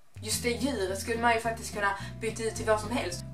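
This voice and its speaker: A woman is speaking. Music plays clearly in the background. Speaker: YouTube vlogger. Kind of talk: casual talk to camera. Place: home room. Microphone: camera far.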